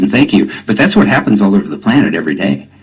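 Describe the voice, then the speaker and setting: Noticeable background noise surrounds a man speaking with lively intonation. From Kansas City area, US Midwest. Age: 60s. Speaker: tai chi teacher and author. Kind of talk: radio interview.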